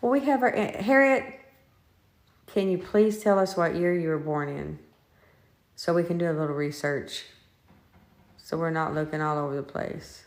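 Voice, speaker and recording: Speaking at a moderate pace with long, frequent pauses, a woman with a fairly low pitch uses lively intonation in a room with audible echo. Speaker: paranormal investigator. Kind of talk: live-streamed ghost investigation. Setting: inside a house, live stream.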